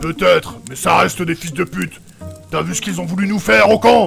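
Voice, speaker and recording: Over clear music in the background, a man uses a put-on character voice at a fairly high pitch and a fairly quick pace. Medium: audio drama. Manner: brash, vulgar.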